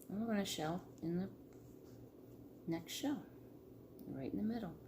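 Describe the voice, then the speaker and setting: Audible room echo surrounds a woman speaking at medium pitch with very wide pitch swings. Her pace is moderate and her loudness very even. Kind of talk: tutorial. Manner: casual.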